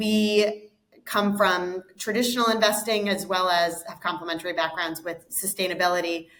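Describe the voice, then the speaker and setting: An ordinary speaking voice from a woman, medium in pitch, at a moderate pace with fairly even intonation. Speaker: investment fund co-founder. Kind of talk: interview.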